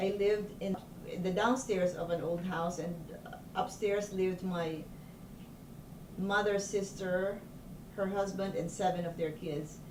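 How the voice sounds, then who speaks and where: A woman at a fairly slow pace with long, frequent pauses and fairly even intonation, against noticeable background noise and audible room echo. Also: medium pitch for a woman. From Philippines. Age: 60s. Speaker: doctor. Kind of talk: oral history interview. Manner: halting.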